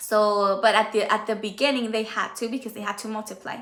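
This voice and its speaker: A woman speaks in a raised, projected voice. Her tone is bright and sharp. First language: Spanish. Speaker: Bible teacher on livestream. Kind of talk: Bible study livestream. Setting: livestream. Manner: halting.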